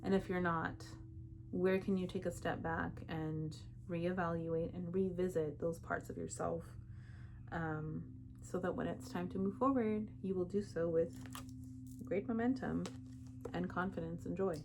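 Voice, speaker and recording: A woman talks at a fairly slow pace with long, frequent pauses, and audible room echo surrounds her voice. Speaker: tarot reader. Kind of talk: tarot reading. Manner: casual, chatty.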